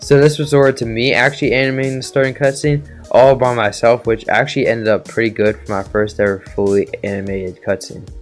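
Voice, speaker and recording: Music plays in the background. A man talks very fast at a medium pitch with ordinary pitch variation. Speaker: game developer. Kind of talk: casual narration of a development timeline.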